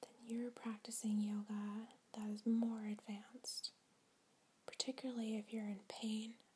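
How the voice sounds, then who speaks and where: A soft-spoken woman whispers at a fairly slow pace in a calm tone. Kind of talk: yoga teacher role play, guided relaxation. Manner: whispered, soft-spoken, calm.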